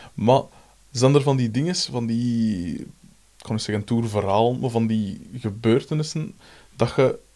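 A dark, mellow tone in a Flemish accent, with ordinary pitch variation, a fairly slow pace and a very clean recording over a silent background. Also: man, medium pitch for a man. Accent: Flemish Dutch. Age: 30s. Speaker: podcast host, musician. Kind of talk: casual interview.

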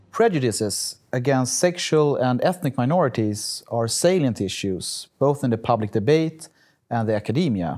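A man speaks with a Swedish accent and a dark, mellow tone. His intonation is lively. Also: medium pitch for a man, moderate pace, very clean recording, silent background. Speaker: podcast interviewer. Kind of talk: interview.

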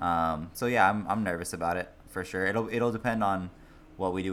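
Room echo can be heard in this clip. A man talks through it fairly quickly. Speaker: hockey podcast co-host. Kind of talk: casual chat. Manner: soft-spoken.

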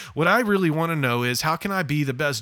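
A man talking at a very fast pace. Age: 40s. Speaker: pastor and podcast host. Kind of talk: podcast introduction monologue. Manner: casual, conversational.

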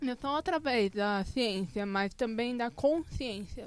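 With an unremarkable speaking voice, a woman talks at a fairly slow pace using lively intonation. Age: 20s. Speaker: design graduate, pedagogy student. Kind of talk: casual chat. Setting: studio.

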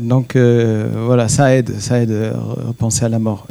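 With a non-native accent, a man talks at a medium pitch. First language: not French (speaking French). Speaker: rabbi. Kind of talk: panel discussion.

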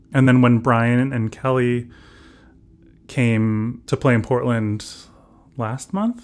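On a very clean recording with a silent background, a man with an American accent and medium pitch speaks at a very slow pace. His intonation is fairly even, and he leaves long, frequent pauses. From Southern California. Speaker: ambient musician. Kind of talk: interview. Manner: halting.

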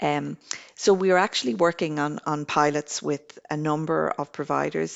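In an Irish accent, a woman talks at a moderate pace. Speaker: government energy program coordinator. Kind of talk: interview. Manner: halting, with repetitions.

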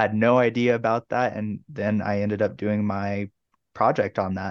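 A man with an American accent speaks at a moderate pace in a fairly low pitch and fairly even intonation. The sound is dry and close with no echo, over a quiet background. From Tucson, Arizona. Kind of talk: interview.

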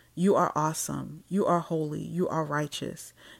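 In a very clean recording with a silent background, a woman speaks with a warm tone, a very deep, low pitch and fairly even intonation. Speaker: podcast host and prayer leader. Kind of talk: fervent extemporaneous intercessory prayer, repetitive praise litany. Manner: impassioned, rhythmic cadence punctuating every phrase with 'dear God'; warm, earnest and reverent, addressing listeners as sisters.

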